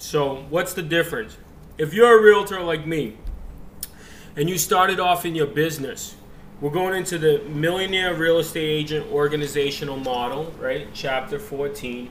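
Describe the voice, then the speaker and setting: A man with a fairly high voice speaks at a moderate pace with ordinary pitch variation, and room echo is audible. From immigrant to the US, grew up in a rough US area. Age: 30s. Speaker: real estate agent and team leader. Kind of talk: casual video lecture on a book chapter.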